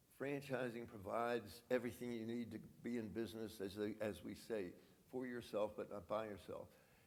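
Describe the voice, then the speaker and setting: With audible room echo, a man talks at a fairly quick pace in a medium pitch. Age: 80s+. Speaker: franchise business founder. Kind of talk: conference interview. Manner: halting.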